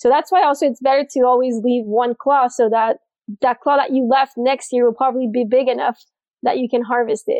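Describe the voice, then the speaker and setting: A woman's high-pitched voice with a slight Quebec accent, very even in loudness, with fairly even intonation at a fairly quick pace. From Montreal, Quebec. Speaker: spearfisher and diver in sales. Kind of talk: casual interview.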